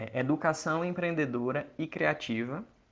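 A man with a fairly high voice talks at a fairly slow pace, the background around him quiet. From Brazil, Ceará interior (Iguatu). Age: 20s. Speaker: entrepreneur, creativity educator. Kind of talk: casual talk to listeners.

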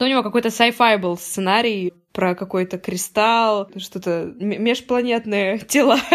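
A woman speaks in an ordinary speaking voice with a fairly high pitch. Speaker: podcast host. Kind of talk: casual chat.

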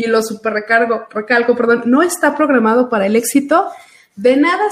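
Her voice is high in pitch. The woman speaks with lively intonation. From Aguascalientes, Mexico. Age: 30s. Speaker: financial advisor. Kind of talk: casual chat.

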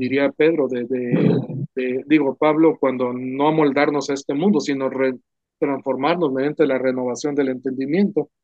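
Fairly even intonation marks an ordinary speaking voice that goes at a moderate pace. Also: man. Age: 60s. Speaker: pastor and ministry founder. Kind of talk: casual conversation about church ministry.

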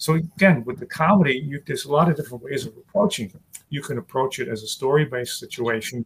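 A man with an American accent, very fast pace, lively intonation and a somewhat breathy sound. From New York City. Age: 60s. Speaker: stand-up comedian. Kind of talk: casual interview chat. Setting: video call.

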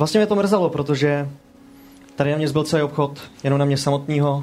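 A man's somewhat breathy voice at a fairly high pitch. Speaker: game master of tabletop RPG podcast. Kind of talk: tabletop role-play narration and casual chat.

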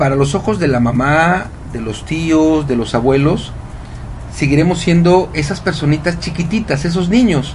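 Noticeable background noise and audible room echo surround a man's voice. He speaks at a fairly slow pace with ordinary pitch variation. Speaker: radio host and happiness coach. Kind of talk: casual radio talk. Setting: home studio. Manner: animated.

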